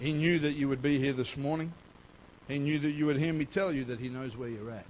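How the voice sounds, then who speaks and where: With an Australian accent, a man talks at a fairly quick pace in a fairly high pitch with ordinary pitch variation, and room echo can be heard. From Australia, North Queensland. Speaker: pastor. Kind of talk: sermon. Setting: church.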